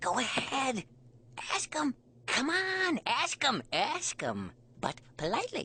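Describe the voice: In a cartoonish character voice that sounds female and high, the speaker moves at a fairly slow pace with long, frequent pauses.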